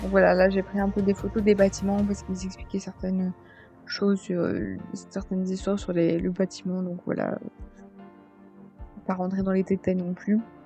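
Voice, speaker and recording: Over music in the background, a woman with a medium pitch talks at a moderate pace in a flat monotone, leaving long, frequent pauses. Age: 20s. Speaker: vlogger. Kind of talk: commented slideshow vlog. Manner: hesitant, many fillers.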